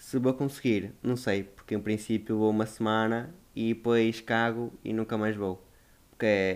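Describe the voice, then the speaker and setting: Flat and monotone, a man speaks at a medium pitch and a fairly slow pace. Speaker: podcast host. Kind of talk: casual solo monologue.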